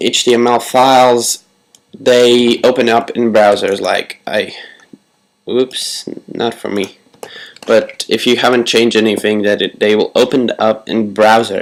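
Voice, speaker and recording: The speaker is a man with a medium pitch. He goes at a fairly slow pace. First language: Latvian. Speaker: tutorial creator. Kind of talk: tutorial.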